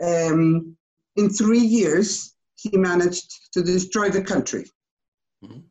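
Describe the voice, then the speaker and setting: Somewhat breathy, a woman speaks at a very slow pace and medium pitch with fairly even intonation. Her loudness swings a lot. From Chile. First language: Spanish. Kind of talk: casual conversation, interview.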